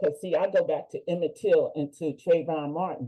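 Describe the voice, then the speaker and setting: Woman at medium pitch, moderate pace and ordinary pitch variation. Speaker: leadership fellow presenting capstone. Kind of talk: conference presentation. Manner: loud.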